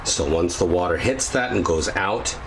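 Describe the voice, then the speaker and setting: Noticeable background noise runs behind a man whose voice is very deep and low. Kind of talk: casual tutorial walkthrough. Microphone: phone near.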